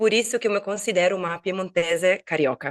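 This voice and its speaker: Speaking at a fairly slow pace, a woman has a medium pitch. Her pitch varies in an ordinary way. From Italy, Turin (Piedmont). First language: Italian (speaking Portuguese). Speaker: Italian teacher and online entrepreneur. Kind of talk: podcast interview. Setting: online recording.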